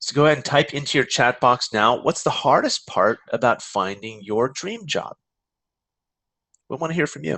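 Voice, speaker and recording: Speaking with a Californian accent, a man of medium pitch uses lively intonation at a moderate pace. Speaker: career coach. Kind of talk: webinar presentation. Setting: online webinar.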